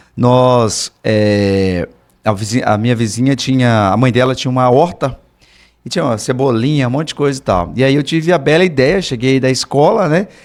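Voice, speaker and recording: His intonation is lively, his pitch medium. The man keeps a moderate pace. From Brazil, Rondônia (Ariquemes). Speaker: political candidate. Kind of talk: interview storytelling. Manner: halting, many fillers.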